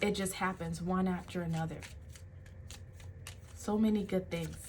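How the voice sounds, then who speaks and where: Audible room echo colors a woman's somewhat breathy, medium-pitched voice. Her intonation is monotone and flat, at a moderate pace. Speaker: tarot reader and life coach. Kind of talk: tarot reading.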